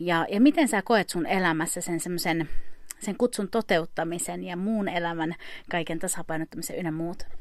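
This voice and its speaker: A woman speaks at a moderate pace with fairly low pitch and ordinary pitch variation, a plain, everyday voice, on a very clean recording with a silent background. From Finland. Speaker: podcast host. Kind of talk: casual interview.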